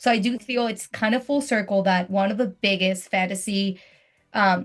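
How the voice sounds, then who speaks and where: A woman talks in an animated tone. Her voice is somewhat breathy. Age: 30s. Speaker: podcast host. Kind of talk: casual chat. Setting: video call.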